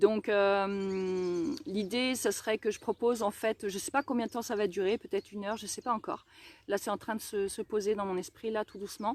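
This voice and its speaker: Medium-pitched woman's voice with ordinary pitch variation, on a very clean recording with a silent background. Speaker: energy healer. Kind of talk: testimony. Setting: outdoors, garden live stream. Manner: fast; hesitant, many fillers.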